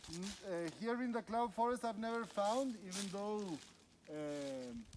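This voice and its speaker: Pitched high, a man speaks with lively intonation at a very slow pace, leaving long, frequent pauses. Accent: Spanish. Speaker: biologist and mushroom guide. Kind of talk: field guided walk explanation. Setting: outdoors in forest. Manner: halting with many fillers and repeats.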